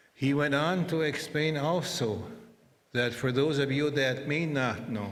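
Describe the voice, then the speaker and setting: A man talks at a fairly slow pace with ordinary pitch variation, and there is audible room echo. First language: Anishinaabemowin (Ojibwe). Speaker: interpreter. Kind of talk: ceremonial speech.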